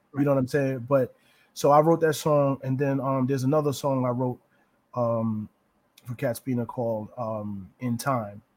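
A man with an American accent talks at a moderate pace, medium in pitch. He has a plain, everyday voice with fairly even intonation. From New Rochelle, New York. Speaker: preacher. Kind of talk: casual interview.

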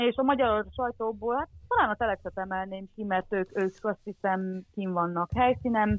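In an unremarkable speaking voice, a woman talks at a moderate pace with ordinary pitch variation. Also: medium pitch for a woman. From Transcarpathia, Ukraine (Hungarian minority). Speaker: former volunteer. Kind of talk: casual interview. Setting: remote call.

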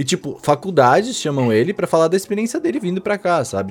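A man's pitch swings very widely as he speaks at a fairly quick pace. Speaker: podcast host. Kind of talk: casual chat.

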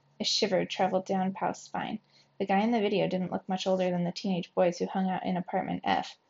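This is an unforced reading voice. The intonation stays fairly even.

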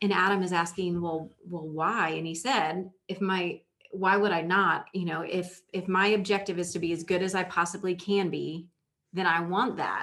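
Here a woman speaks with an American accent at a moderate pace. Her medium-pitched delivery has monotone, flat intonation. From Indiana, US Midwest. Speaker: podcast host, leadership coach. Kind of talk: casual chat. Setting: studio, same room as co-host.

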